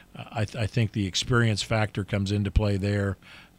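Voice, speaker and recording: In an American accent, a man with a fairly low pitch talks at a moderate pace in a monotone, flat intonation, on a very clean recording with a silent background. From Ohio. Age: 60s. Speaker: football referee. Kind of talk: interview. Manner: halting, many fillers.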